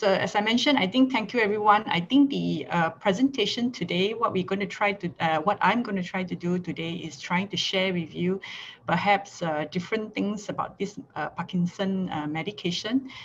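A somewhat breathy woman talks at a moderate pace with hardly any pauses. Her pitch varies in an ordinary way over light background noise. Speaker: pharmacy lecturer. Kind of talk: lecture. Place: home room. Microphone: video call.

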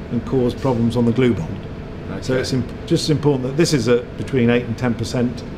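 A man speaks with fairly even intonation over noticeable background noise. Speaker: factory guide. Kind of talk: explanatory tour talk. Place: factory.

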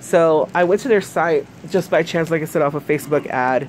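Speaking at a fairly quick pace, a woman has a very deep, low voice, and noticeable background noise runs underneath. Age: 30s. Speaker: YouTuber reviewing products. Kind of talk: casual unboxing review. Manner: hesitant, many fillers.

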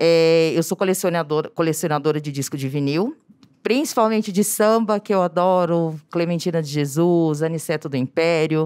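Over a quiet background, a woman with a fairly low pitch speaks in an ordinary speaking voice with ordinary pitch variation. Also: moderate pace. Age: 40s. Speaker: teacher, audience member; audience member. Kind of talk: audience question. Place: hall. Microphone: handheld.

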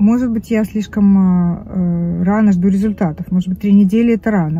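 A woman speaks at a moderate pace, and the sound is dry with no echo. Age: 50s. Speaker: vlogger. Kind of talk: casual chat. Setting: in a car. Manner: animated. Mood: chatty, candid. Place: car. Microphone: phone near.

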